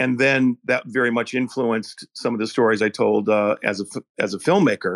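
A man speaks at a moderate pace in a normal speaking voice, with a medium pitch and ordinary pitch variation. His loudness is very even and the sound is dry and close, with no echo. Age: 60s. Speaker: film director and podcast host. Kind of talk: casual chat.

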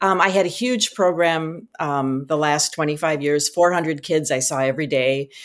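At a moderate pace, a woman with an American accent speaks at a very deep, low pitch in a very clean recording with a silent background. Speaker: retired choir teacher and author. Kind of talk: podcast interview.

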